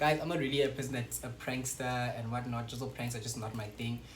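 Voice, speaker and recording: A man's medium-pitched voice comes through noticeable background noise and audible room echo. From South Africa, Western Cape (Paarl). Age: 20s. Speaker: YouTuber. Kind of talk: casual vlog chat. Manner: animated.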